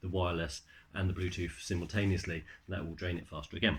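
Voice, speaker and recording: A man with a British accent mumbles at a fairly quick pace, his voice very deep, low, and somewhat breathy. The recording is very clean, with a silent background. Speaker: tech reviewer. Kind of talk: product review. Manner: mumbling; halting, many fillers.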